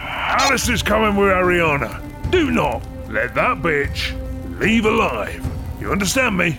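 A man does a put-on character voice at a fairly slow pace. Loud music plays in the background. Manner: profane, sneering.

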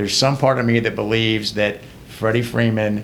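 Heard with audible room echo, the man speaks at a medium pitch. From Georgia, US South (LaGrange). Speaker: trial lawyer. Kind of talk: casual chat.

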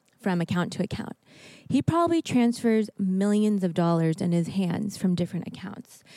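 Her voice has a dark, mellow tone, a medium pitch for a woman, ordinary pitch variation and a moderate pace. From US Northwest, Seattle area. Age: 30s. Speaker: young adult ministry leader. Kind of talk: panel discussion.

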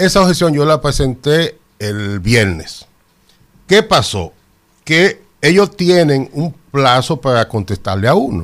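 A man speaks at a very slow pace. His fairly high pitch moves in very wide swings. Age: 60s. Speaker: public procurement expert. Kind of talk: radio interview.

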